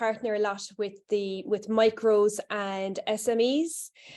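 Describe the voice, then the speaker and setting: Against a quiet background, a woman with a Cork accent speaks at a fairly high pitch with fairly even intonation. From Ireland, Cork. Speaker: HR consultant, workshop presenter. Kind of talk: presentation to small audience. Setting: room with live and online audience. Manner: casual, hesitant with fillers.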